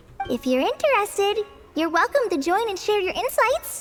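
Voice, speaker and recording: Over clear music in the background, a woman does a squeaky put-on character voice at an extremely high pitch, with very wide pitch swings at a moderate pace. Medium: video game. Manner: humble, hesitant.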